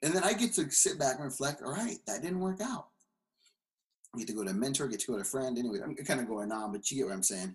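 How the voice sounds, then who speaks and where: A somewhat breathy man's voice at medium pitch, very fast, with very wide pitch swings. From California. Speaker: pastor. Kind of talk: casual chat.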